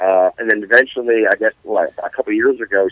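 A man talks at a very fast pace with a dry, close sound and no echo. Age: 40s. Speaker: podcast co-host. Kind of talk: casual chat.

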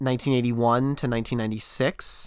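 The voice carries an American accent and a monotone, flat intonation. The recording is very clean, with a silent background. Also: man. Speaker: podcast co-host. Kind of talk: casual chat.

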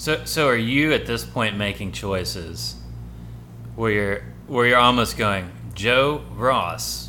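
Over music in the background, a man with a fairly low pitch talks at a very slow pace, his voice making very wide pitch swings. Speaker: podcast host. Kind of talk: casual chat. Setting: hotel room recording.

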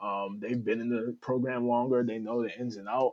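A man with a plain, everyday voice and an American accent, medium pitch, fairly even intonation, moderate pace, quiet background. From New Haven, Connecticut. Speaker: former college football player. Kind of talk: casual interview.

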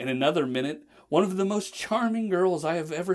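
The delivery uses an unforced reading voice and moves with lively intonation.

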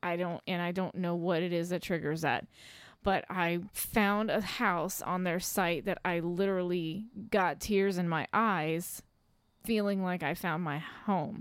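In a very clean recording with a silent background, a woman with an unremarkable speaking voice talks at a fairly slow pace in a fairly low pitch with fairly even intonation. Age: 30s. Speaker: podcast host's wife. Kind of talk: casual chat.

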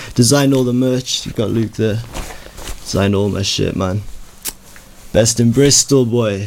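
A man with a Welsh accent at medium pitch and moderate pace, with long, frequent pauses and noticeable background noise. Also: fairly even intonation. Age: young. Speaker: rapper. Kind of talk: casual chat.

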